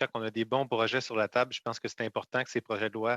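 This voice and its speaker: An ordinary speaking voice from a man, medium in pitch, at a fairly quick pace with fairly even intonation and a dry, close sound with no echo. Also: quiet background. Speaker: member of parliament. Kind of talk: parliamentary committee questioning. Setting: parliamentary committee.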